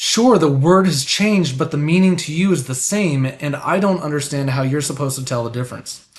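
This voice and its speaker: Talking at a fairly quick pace with hardly any pauses, a man uses a fairly high pitch and ordinary pitch variation. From United States. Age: 30s. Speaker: live streamer, political commentator. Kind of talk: live stream commentary. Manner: hesitant, with fillers.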